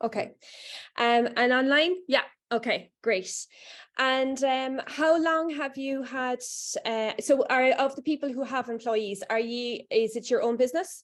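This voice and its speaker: A woman with a Cork accent speaks at a high pitch and a fairly slow pace. Her pitch varies in an ordinary way against a quiet background. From Ireland, Cork. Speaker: HR consultant, workshop presenter. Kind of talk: presentation to small audience. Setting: room with live and online audience. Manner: casual, hesitant with fillers.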